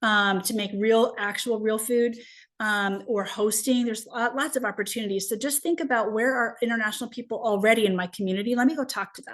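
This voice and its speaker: Over a quiet background, a woman talks at a very fast pace and a fairly high pitch with fairly even intonation. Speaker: international student program consultant. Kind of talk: webinar presentation.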